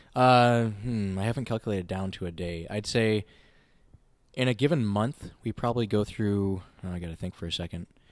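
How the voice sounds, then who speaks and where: Against a quiet background, a man with an American accent has an unremarkable speaking voice. His pitch is fairly low, his pace fairly quick, and his pitch variation ordinary. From Minnesota (Winona). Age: 20s. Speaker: brewery owner and brewer. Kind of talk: casual interview. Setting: in a brewery taproom.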